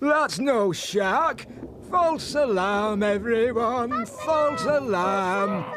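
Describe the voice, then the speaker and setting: Over clear background noise, a man puts on a character voice, high-pitched and very slow. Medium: read story. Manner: warm, theatrical.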